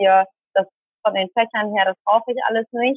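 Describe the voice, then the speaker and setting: With a fairly high pitch, a woman speaks in a normal speaking voice at a fairly quick pace. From Germany, Tamil Sri Lankan family. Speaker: speaker and volunteer crew manager. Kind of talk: interview. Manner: many filler sounds.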